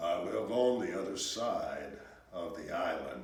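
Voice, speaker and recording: Using a put-on character voice, a man speaks at a fairly slow pace with a clear echo. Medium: read story.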